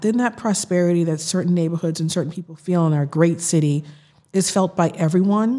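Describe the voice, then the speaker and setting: With an American accent, a woman talks at a moderate pace in a fairly low pitch, dark, mellow tone and ordinary pitch variation, on a very clean recording with a silent background. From Boston, Massachusetts (Roxbury). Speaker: city councilor. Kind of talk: interview conversation.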